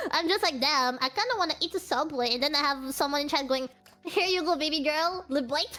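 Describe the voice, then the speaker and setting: A woman speaks in a raised, projected voice at a high pitch and a fairly quick pace, with ordinary pitch variation. Her loudness stays very even over noticeable background noise. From France. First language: French. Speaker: streamer. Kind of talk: casual interview chat.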